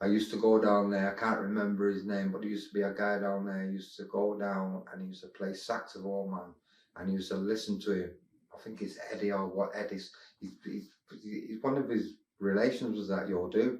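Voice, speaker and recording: Fairly low in pitch, a man speaks with a Mancunian accent. His delivery is fairly quick, monotone and flat. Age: 50s. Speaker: former club regular. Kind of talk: interview. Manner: halting.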